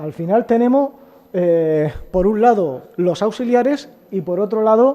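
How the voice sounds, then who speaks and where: Lively intonation runs through this man's speech. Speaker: agricultural engineer. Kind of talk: conference talk. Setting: auditorium with audience. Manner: halting, repetitive. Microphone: too quiet, has to move closer to mic.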